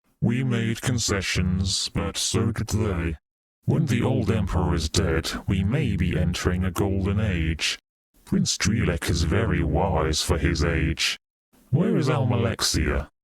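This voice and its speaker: A man speaks at a fairly slow pace in a put-on character voice. His pitch is very deep and low. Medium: read story.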